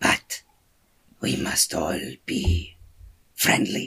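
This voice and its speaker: A man's raspy, put-on character voice. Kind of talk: gruff creature voice. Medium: actual play. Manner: terse, broken speech without articles.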